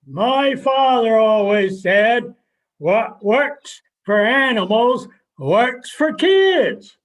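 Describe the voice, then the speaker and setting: A man in a put-on character voice at an extremely high pitch and a very slow pace. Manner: curt, terse, deadpan.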